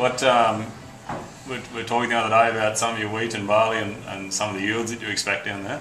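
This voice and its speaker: A man speaks very fast with an Australian accent and monotone, flat intonation. Noticeable background noise and audible room echo are present. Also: medium pitch for a man. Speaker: interviewer, farmer. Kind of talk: casual interview.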